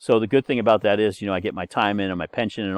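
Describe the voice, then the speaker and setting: This man's voice sits fairly low in pitch, with fairly even intonation. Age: 60s. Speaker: university instructor. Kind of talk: course introduction lecture. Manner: casual, hesitant with fillers.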